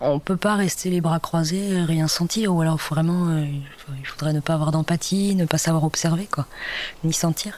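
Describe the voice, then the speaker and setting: This woman talks at a fairly slow pace with a fairly low pitch, fairly even intonation and very even loudness. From Brittany / Nantes area, France. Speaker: explorer and musician. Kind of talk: interview testimony. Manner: halting, many hesitations.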